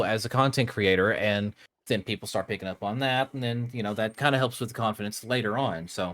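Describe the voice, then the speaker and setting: A man with an American accent at a fairly quick pace, with ordinary pitch variation, on a very clean recording with a silent background. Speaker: Minecraft content creator and podcast host. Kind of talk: casual chat. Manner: halting, frequent repetitions.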